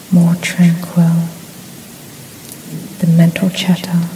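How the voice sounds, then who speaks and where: Soft-spoken and soothing, a woman with a fairly low pitch talks at a very slow pace over noticeable background noise. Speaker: reiki practitioner. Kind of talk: reiki session for sleep, guided relaxation. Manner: soft-spoken, slow, soothing.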